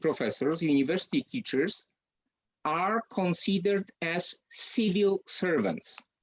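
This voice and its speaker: Very slow speech in a Polish accent. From Poland. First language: Polish (speaking Ukrainian). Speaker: university lecturer. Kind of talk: lecture. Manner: halting, many fillers.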